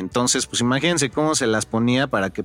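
Speaking fairly quickly, a man uses a plain, everyday voice with ordinary pitch variation. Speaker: podcast co-host. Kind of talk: casual chat.

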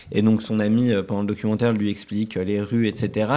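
This is a man speaking. His pitch sits fairly low. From Paris, France. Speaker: writer. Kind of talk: interview. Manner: hesitant.

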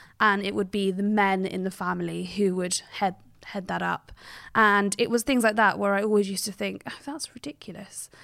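In a southern English accent, a woman talks at a moderate pace with medium pitch and fairly even intonation. The recording is very clean, with a silent background. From England, Cheltenham, Gloucestershire. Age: 30s. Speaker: journalist. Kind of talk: interview.

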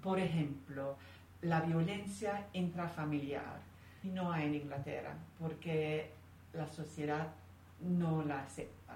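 With an English accent, a woman speaks very slowly at a very deep, low pitch with ordinary pitch variation and long, frequent pauses, amid audible room echo and noticeable background noise. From England. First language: English (speaking Spanish). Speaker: interview guest. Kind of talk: interview conversation.

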